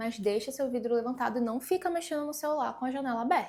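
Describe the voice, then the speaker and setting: This woman's voice is high, with ordinary pitch variation and a moderate pace. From Pará, northern Brazil. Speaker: travel vlogger. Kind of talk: casual travel tips vlog. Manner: conversational, animated.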